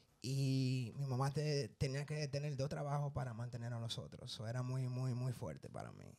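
Speaking at a moderate pace with hardly any pauses, a man keeps his intonation fairly even in a dark, mellow tone. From New York. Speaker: guest. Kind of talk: interview. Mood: relaxed, personal storytelling. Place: studio. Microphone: handheld.

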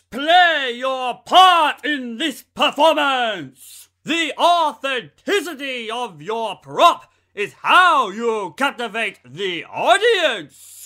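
A man puts on a character voice, raised and projected, with extremely high pitch for a man. He speaks at a very slow pace on a very clean recording with a silent background. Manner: grandiose, declamatory.

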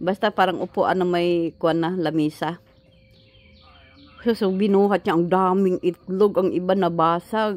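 A woman talks at a fairly slow pace. Her tone is slightly mellow and her intonation fairly even.

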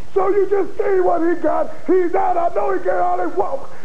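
A man talks in an extremely high voice. His pitch swings very widely. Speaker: wrestling manager. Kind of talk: wrestling promo. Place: studio. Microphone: handheld.

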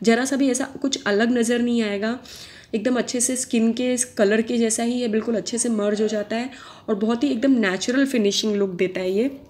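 Noticeable background noise behind a woman speaking with fairly even intonation at a fairly high pitch. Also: moderate pace. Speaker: beauty vlogger. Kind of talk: tutorial. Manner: chatty, conversational.

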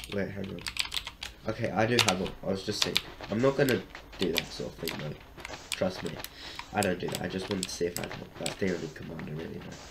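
Very fast speech comes from a man with a very deep, low pitch and ordinary pitch variation, broken by long, frequent pauses. Noticeable background noise is present. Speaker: streamer. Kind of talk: casual livestream chat while gaming. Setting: live stream with voice call to friends.

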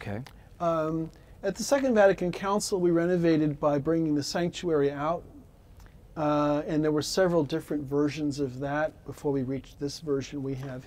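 Speaking at a moderate speed, the man's pitch shifts in an ordinary way. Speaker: friar or priest of the church. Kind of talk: interview answer. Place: church. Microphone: lapel.

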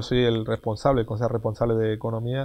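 A man with a Canarian accent speaks over a quiet background. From Tenerife, Canary Islands. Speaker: mayor. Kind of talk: casual interview. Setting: outdoors. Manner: halting, repeats words. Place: street.

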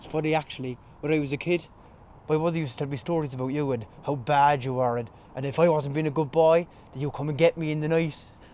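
At a very fast pace, a man speaks with fairly even intonation in a dry sound with no echo. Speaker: actor in drama scene. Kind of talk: scripted drama dialogue.

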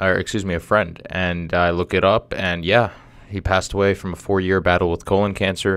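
A man speaks with a very deep, low pitch in a monotone, flat intonation. He goes at a fairly quick pace, and the sound is dry with no echo. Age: 20s. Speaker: podcast host. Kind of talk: casual monologue; casual vlog chat. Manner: halting. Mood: somber, reflective. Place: studio. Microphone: studio mic.

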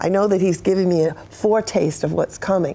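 A woman talking at a very fast pace with lively intonation. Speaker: interview guest. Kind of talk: interview answer. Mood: fervent, emotional testimony. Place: studio.

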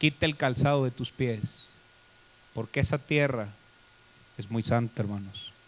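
A man with a medium-pitched voice talks at a fairly slow pace with long, frequent pauses, an animated tone, ordinary pitch variation, and light background noise. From Mexico. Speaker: pastor. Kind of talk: sermon. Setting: church. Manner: animated, preacherly, rhetorical questions to congregation. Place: church. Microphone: handheld.

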